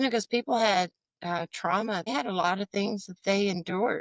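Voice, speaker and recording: Recorded very cleanly against a silent background with a dry, close sound with no echo, a woman speaks at a moderate pace and medium pitch in a normal speaking voice. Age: 60s. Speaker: entrepreneur, magazine publisher. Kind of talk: interview conversation.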